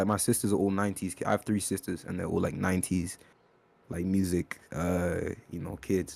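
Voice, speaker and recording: In a British accent, a man with a very deep, low pitch speaks at a fairly quick pace. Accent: UK. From born in UK, raised in Kenya from age ten. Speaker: rapper. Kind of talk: interview. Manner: halting, many fillers.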